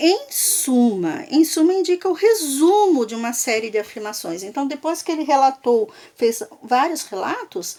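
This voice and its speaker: Over noticeable background noise, a woman speaks fairly slowly in a high pitch with very wide pitch swings. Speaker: school teacher. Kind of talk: lecture. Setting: recorded video lesson for remote students.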